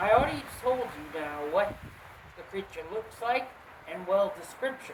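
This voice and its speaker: Amid audible room echo and noticeable background noise, a woman talks at a moderate pace with very wide pitch swings and big swings in loudness. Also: medium pitch for a woman. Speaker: cryptid video host. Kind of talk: casual storytelling. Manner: mumbling; halting.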